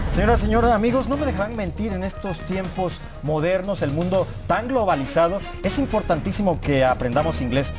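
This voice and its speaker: A man speaks at a fairly quick pace while music plays clearly behind him. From Tabasco, Mexico. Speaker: TV news anchor and host. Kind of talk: TV show host segment. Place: studio.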